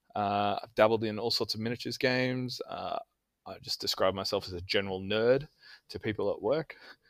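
An Australian-accented man speaks at a fairly quick pace with a medium pitch. His intonation stays fairly even while his loudness swings widely. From Australia, Canberra. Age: 30s. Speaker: tabletop gamer. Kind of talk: casual chat.

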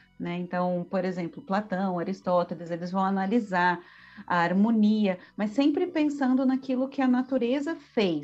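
A woman with a somewhat breathy voice and lively intonation speaks fairly slowly. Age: 40s. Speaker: visual artist and art history professor. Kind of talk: casual interview with didactic explanations.

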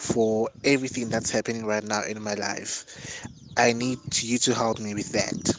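A man's voice amid noticeable background noise. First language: Xhosa. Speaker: podcast host and student. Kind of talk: solo monologue with motivational advice.

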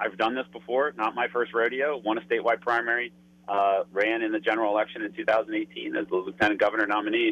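A man with an American accent has a plain, everyday voice, medium in pitch with ordinary pitch variation, and talks at a fairly quick pace. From Pennsylvania, Berks County. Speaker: Senate candidate. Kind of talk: phone interview. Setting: phone call from a moving bus.

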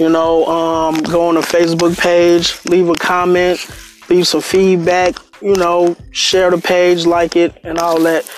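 Music plays behind a man speaking at a high pitch. His intonation stays monotone and flat. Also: fairly slow pace, very even loudness. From Chicago, Englewood. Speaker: podcast host. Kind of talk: casual monologue.

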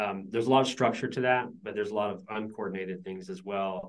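Talking at a very fast pace, a man with an American accent is heard with audible room echo. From US South (Georgia). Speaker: business founder. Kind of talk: interview.

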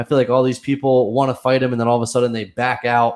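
The speech moves at a fairly quick pace in an American accent. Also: man. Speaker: podcast host. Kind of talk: casual chat. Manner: monotone, not animated; laid-back.

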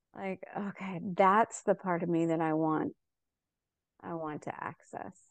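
A woman with an unremarkable speaking voice talks at a fairly slow pace and a fairly low pitch, with ordinary pitch variation, in a dry, close sound with no echo against a quiet background. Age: 50s. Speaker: coaching client. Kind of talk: live coaching session.

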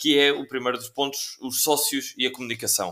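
A man's bright, sharp tone. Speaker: podcast host. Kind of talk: interview. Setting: video call.

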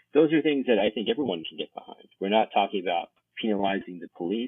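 With lively intonation and an American accent, a man talks at a very fast pace. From US, Maryland (Montgomery County). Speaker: political strategist. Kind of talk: casual interview.

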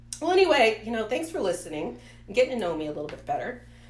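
With an American accent, the voice swings very widely in pitch against noticeable background noise and audible room echo. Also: woman. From US Midwest, rural Ohio. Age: 40s. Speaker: podcast host. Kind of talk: casual chat.

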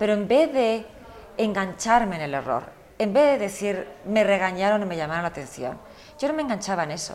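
At a fairly quick pace, a woman with a medium pitch lets her voice swing very widely up and down. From United States. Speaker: fashion magazine editor and executive. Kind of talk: interview.

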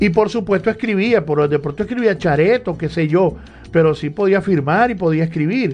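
Moderate-paced, high-pitched male speech full of lively intonation. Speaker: radio host. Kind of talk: casual chat. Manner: halting.

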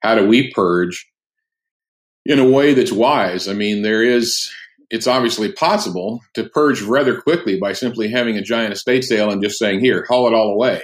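A man talks in an ordinary speaking voice, his pitch sitting in the medium range. His pace is moderate and his pitch variation ordinary. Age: 60s. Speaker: pastor and author. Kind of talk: casual interview. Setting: remote call.

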